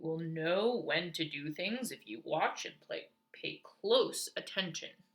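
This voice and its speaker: This is a put-on character voice at a middle pitch. The delivery moves at a fairly slow pace. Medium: read story. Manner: playful, laughing.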